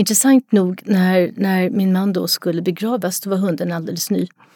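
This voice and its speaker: A woman's somewhat breathy, dark, mellow voice, dry and close with no echo, in a very clean recording with a silent background. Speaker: retired psychology professor, dog expert. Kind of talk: casual interview.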